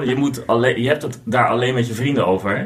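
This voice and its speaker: A man's fairly even intonation and medium pitch come through over noticeable background noise. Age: 40s. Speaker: board game designer. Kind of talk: casual chat.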